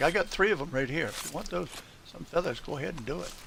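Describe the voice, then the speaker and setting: Over noticeable background noise, a man speaks in a relaxed tone with very wide pitch swings. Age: 70s. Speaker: gaming live streamer. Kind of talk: casual chat. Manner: relaxed, rambling with fillers.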